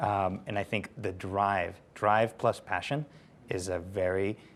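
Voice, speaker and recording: Fairly low pitch and fairly even intonation mark this man with a Spanish accent. The recording is very clean, with a silent background. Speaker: company founder. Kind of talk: panel discussion.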